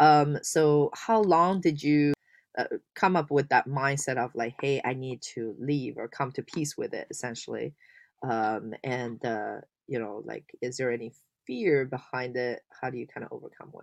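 A woman speaks at a moderate pace in a very deep, low pitch, with ordinary pitch variation and big swings in loudness against a quiet background. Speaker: podcast host. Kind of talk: interview, casual conversational. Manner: filler-heavy, hesitant.

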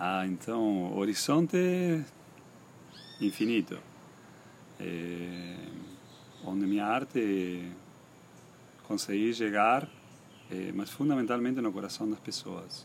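Lively in intonation, a man talks at a very slow pace with long, frequent pauses. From Argentina, Misiones (Posadas). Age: 50s. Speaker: painter. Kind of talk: interview. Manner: halting.

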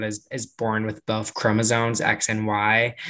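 A man talks at a medium pitch and a moderate pace. His tone is bright and sharp, with fairly even intonation. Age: 20s. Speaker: marketing professional. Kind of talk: casual chat.

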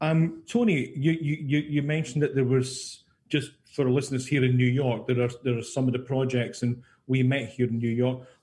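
A man with a Scottish accent speaks in a somewhat breathy, dark, mellow tone at a medium pitch, keeping a moderate pace and fairly even intonation. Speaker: radio host. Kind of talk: radio interview, host. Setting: radio studio.

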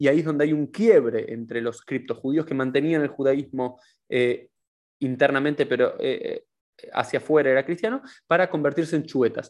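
In a Rioplatense accent, the speaker talks at a moderate pace with ordinary pitch variation against a quiet background. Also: man, fairly high pitch for a man. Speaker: podcast host. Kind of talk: interview.

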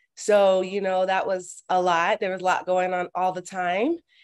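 Against a quiet background, a woman with an American accent uses an ordinary speaking voice at medium pitch and a moderate pace. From Miami, Florida, US. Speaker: former athlete and community organizer. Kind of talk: interview conversation.

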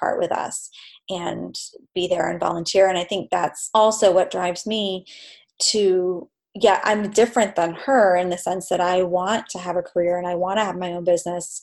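A woman's medium-pitched voice, an unremarkable speaking voice with fairly even intonation. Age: 40s. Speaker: photographer. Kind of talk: casual chat.

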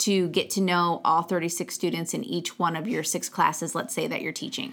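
A woman's fairly quick speech with vocal fry, on a very clean recording with a silent background. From Michigan, Genesee County near Flint. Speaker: school head. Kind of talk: interview.

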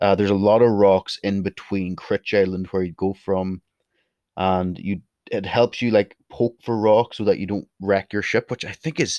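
A man with a Northern Irish accent talks at a fairly quick pace and fairly low pitch, with fairly even intonation, over a quiet background, the sound dry and close with no echo. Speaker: podcast host. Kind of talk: solo podcast monologue. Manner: opinionated, passionate.

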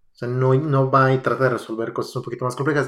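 Here a man speaks at a fairly high pitch. His voice is somewhat breathy. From Mexico, Aguascalientes. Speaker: software engineer. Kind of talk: casual chat.

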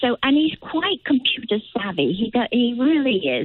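A woman's high voice in an East Midlands accent at a moderate pace. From England, Nottinghamshire. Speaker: caller. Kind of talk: phone-in thanks. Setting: phone call.

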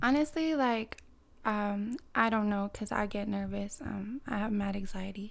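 A woman with a plain, everyday voice, medium pitch and ordinary pitch variation, at a fairly slow pace. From Canada. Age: 20s. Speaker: podcast guest, independent businesswoman. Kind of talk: casual chat.

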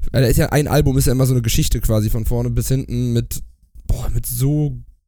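Fairly quick in pace, a man speaks in a dark, mellow tone with ordinary pitch variation. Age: 30s. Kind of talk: casual chat. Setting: video call. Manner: halting.

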